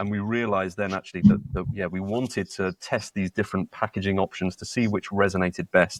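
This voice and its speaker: Speaking in a British accent at a fairly quick pace, the voice keeps a fairly even intonation and takes hardly any pauses. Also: man, fairly low pitch for a man, dry, close sound with no echo. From UK. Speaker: startup co-founder. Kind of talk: podcast interview. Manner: halting, many repetitions and fillers.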